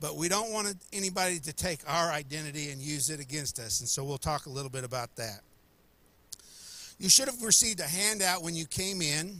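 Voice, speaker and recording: Speaking at a fairly quick pace, a man with a fairly high pitch and a bright, sharp tone uses lively intonation. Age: 60s. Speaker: pastor. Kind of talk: seminar talk. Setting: church with live audience, livestreamed.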